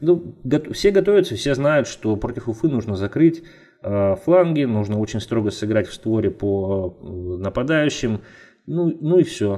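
A man's voice, dark and mellow in tone, with lively intonation. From Russia, Nizhny Tagil. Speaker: football analyst. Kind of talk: casual chat.

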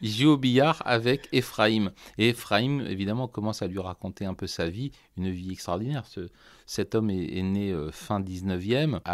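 A man's fairly low voice at a fairly slow pace, with ordinary pitch variation, on a very clean recording with a silent background. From France, Loiret (Artenay). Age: 50s. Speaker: violin maker. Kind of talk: interview. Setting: workshop. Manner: halting.

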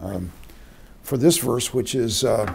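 A man with a dark, mellow tone and ordinary pitch variation speaks at a fairly slow pace against light background noise. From Oklahoma City. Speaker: retired seminary professor. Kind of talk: interview. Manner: halting. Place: office. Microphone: camera far.

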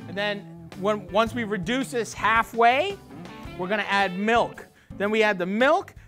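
A man's raised, projected voice at a fairly slow pace with ordinary pitch variation, over faint music in the background. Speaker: cooking show host. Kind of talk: cooking tutorial. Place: kitchen. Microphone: lapel.

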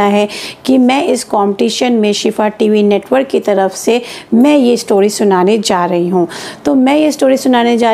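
Fairly slow speech from a woman, pitch varying in an ordinary way. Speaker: religious storyteller for children. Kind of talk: storytelling instruction. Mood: calm, gentle. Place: home room. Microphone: lapel.

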